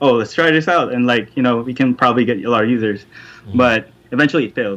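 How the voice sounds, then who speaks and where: The voice has a bright, sharp tone and a fairly quick pace. Its pitch varies in an ordinary way. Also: man. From Philippines. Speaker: tech marketer. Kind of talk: casual interview. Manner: halting with fillers.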